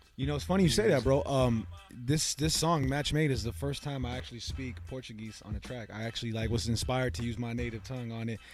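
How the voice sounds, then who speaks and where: A man at a very fast pace and medium pitch, lively in intonation, somewhat breathy, with hardly any pauses. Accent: American. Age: 20s. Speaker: rapper. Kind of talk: casual chat.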